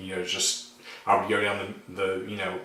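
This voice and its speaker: A man with an American accent at a moderate pace, in audible room echo with noticeable background noise. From Arkansas, US South. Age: 40s. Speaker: YouTuber, synth hobbyist. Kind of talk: casual vlog talk. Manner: hesitant, many fillers.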